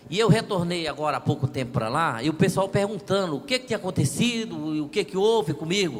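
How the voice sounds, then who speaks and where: His speech runs at a moderate speed. The man's intonation is lively. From Brazil, near Luziânia (Goiás). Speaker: audience member. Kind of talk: audience testimony.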